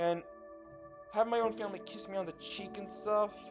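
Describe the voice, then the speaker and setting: A man speaks at a fairly slow pace. Music can be heard in the background. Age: young. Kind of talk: casual talk to camera.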